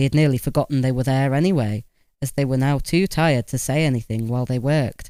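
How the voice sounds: This clip features a natural reading voice.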